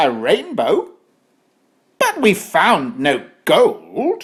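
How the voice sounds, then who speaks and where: A high, put-on character voice cackles. The pace is very slow. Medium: read story.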